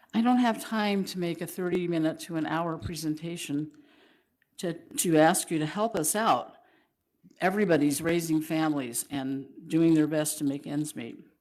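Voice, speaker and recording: A woman speaks with a fairly low pitch and ordinary pitch variation, with audible room echo. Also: moderate pace. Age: 70s. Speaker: public commenter. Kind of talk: public comment reading. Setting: council meeting.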